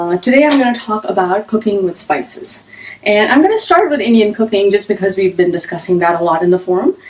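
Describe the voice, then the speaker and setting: Very fast, lively intonation from a woman at medium pitch, her loudness very even throughout. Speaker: cooking teacher. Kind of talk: live-streamed cooking class. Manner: fast when excited.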